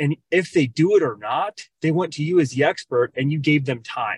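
This man has a fairly high pitch, ordinary pitch variation and a somewhat breathy voice with an American accent. The sound is dry and close, with no echo. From Minnesota. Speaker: loan officer. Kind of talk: casual chat.

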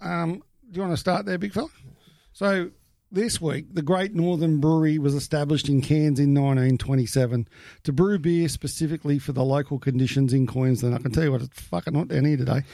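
Speaking with an Australian accent, a man with a dark, mellow tone and fairly high pitch moves at a fairly quick pace with ordinary pitch variation on a very clean recording with a silent background. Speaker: podcast host. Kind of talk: casual chat.

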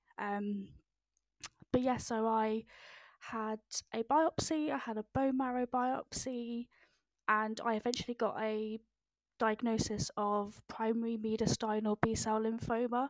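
Her pitch fairly high for a woman, she speaks at a fairly slow pace with fairly even intonation and long, frequent pauses. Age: 20s. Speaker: cancer survivor and patient advocate. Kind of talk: interview testimony. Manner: halting, many fillers.

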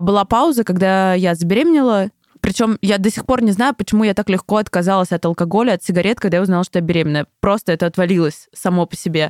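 A woman talks very fast at a medium pitch with ordinary pitch variation, in a dry, close sound with no echo. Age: 20s. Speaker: creative producer. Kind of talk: interview testimony.

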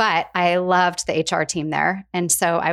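A woman with a fairly low pitch speaks at a moderate pace in a monotone, flat intonation. The recording is very clean, with a silent background. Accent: American. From US Pacific Northwest (Spokane, Washington). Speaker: HR executive. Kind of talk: interview conversation.

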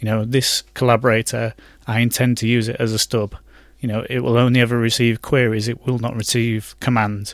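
A man with a British accent talks at a fairly quick pace in a medium pitch. His intonation is monotone and flat, and the recording is very clean with a silent background. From UK. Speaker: software developer. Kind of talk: casual chat.

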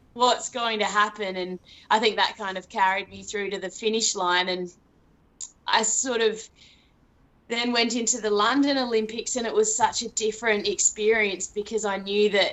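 A woman with an Australian accent speaks at a moderate pace. Her pitch is fairly high and her intonation fairly even. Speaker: elite marathon runner. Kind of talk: casual interview chat.

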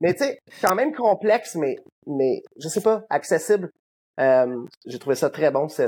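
A man speaks with very wide pitch swings. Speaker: rock musician. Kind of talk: interview.

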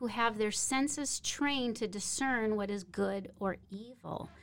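With an American accent and an unremarkable speaking voice, a woman talks at a fairly high pitch with ordinary pitch variation, in a very clean recording with a silent background. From Minnesota, US. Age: 50s. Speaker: missionary. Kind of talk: interview. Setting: studio.

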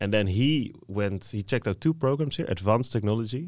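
In a very clean recording with a silent background, a man with a fairly low pitch talks at a fairly quick pace with lively intonation. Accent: Dutch. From southern Netherlands, 's-Hertogenbosch. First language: Dutch. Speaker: master's student. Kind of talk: casual interview.

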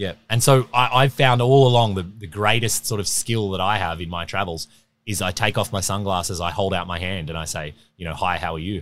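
A man with an Australian accent talks at a fairly quick pace on a very clean recording with a silent background. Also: fairly low pitch for a man, ordinary pitch variation. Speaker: overland traveler and adventurer. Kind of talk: casual interview chat. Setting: recorded at an outdoor expo event.

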